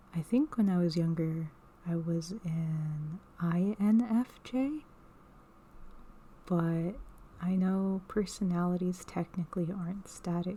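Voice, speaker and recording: Soft-spoken delivery at a very slow pace. Long pauses come often. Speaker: ASMR creator; artist. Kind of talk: casual ASMR talk to camera.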